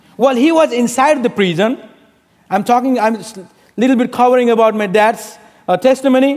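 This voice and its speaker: A man with a Nepali accent speaks at an extremely high pitch, leaving long, frequent pauses. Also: ordinary pitch variation, fairly quick pace. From Bhutan, raised in Nepal. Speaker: pastor. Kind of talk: sermon. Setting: church.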